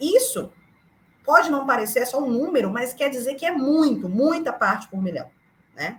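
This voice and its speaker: A woman speaks in an animated, high voice with lively intonation, leaving long, frequent pauses. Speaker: climate activist. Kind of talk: lecture. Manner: fast.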